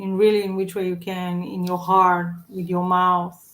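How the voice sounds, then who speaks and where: With a non-native accent, the words come out fairly slowly. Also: woman. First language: not English. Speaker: vlogger. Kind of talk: casual monologue. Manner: halting.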